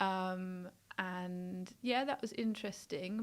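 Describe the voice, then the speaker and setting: Speaking with a London accent, a woman goes at a very slow pace. The recording is very clean, with a silent background. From South London. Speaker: nurse. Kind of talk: interview testimony.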